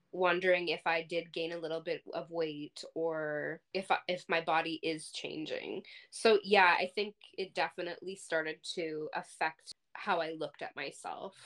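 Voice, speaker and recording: Her voice fairly low in pitch and flat in intonation, a woman speaks at a moderate pace with a dry, close sound and no echo. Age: 30s. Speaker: podcast co-host; healthcare worker. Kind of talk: casual chat.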